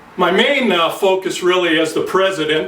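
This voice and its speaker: With an American accent, a man talks at a moderate pace in a high pitch, with audible room echo and noticeable background noise. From US Midwest, Detroit, Michigan. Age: 50s. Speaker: accountant. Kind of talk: mock campaign announcement speech. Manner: frequent filler hesitations.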